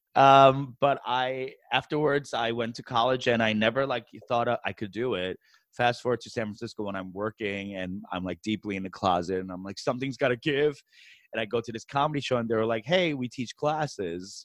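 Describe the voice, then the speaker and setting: At a fairly quick pace, a man with a medium pitch speaks with lively intonation, the sound dry and close with no echo over a quiet background. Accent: American. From New York City, US. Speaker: stand-up comedian. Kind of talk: casual interview chat. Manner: animated.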